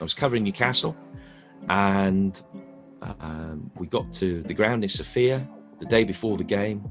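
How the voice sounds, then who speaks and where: With music in the background, a man talks at a moderate pace and a fairly low pitch with lively intonation. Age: 40s. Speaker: football commentator. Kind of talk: interview answer. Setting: online video call interview.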